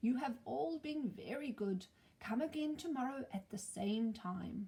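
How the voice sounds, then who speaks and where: A woman puts on a character voice, speaking softly. Her pitch is fairly high. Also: moderate pace. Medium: read story. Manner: solemn, kindly.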